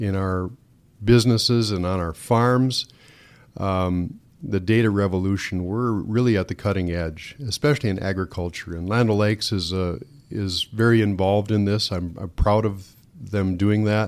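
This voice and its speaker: With fairly even intonation, a man talks at a moderate pace in a fairly low register. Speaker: farmer and singer. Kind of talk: interview conversation. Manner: loud, projecting voice.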